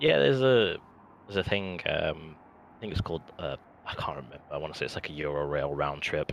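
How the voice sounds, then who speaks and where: Over noticeable background noise, a man with a British accent talks at a very fast pace in a very deep, low pitch with lively intonation. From United Kingdom. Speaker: gamer in voice chat. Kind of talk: casual chat.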